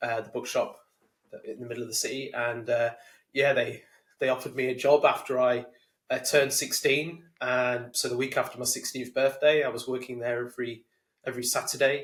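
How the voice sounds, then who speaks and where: At a fairly quick pace, a man talks in a medium-pitched voice with monotone, flat intonation. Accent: English Midlands. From England, Leicestershire. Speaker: sales community founder. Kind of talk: podcast interview. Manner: hesitant, many repeated words.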